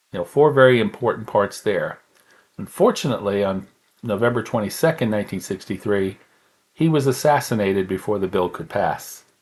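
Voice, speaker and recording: A man's fairly low voice, an ordinary speaking voice with ordinary pitch variation. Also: fairly quick pace. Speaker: pastor, podcast host. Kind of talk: educational podcast talk, history lesson.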